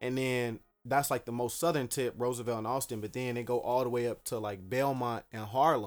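Over music in the background, a man with an American accent speaks at a fairly quick pace in a medium pitch, his intonation fairly even. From Dallas, Texas. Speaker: local political candidate. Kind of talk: casual interview.

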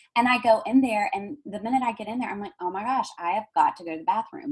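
A woman with a strong Southern US accent at a fairly quick pace. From US South. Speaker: intuitive healer and palm reader. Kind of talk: casual interview chat. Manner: loud.

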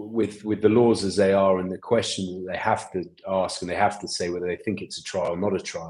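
Fairly quick, flat, monotone speech in an English accent, with hardly any pauses. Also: man, fairly low pitch for a man. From England. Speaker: rugby assistant coach. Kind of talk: casual interview.

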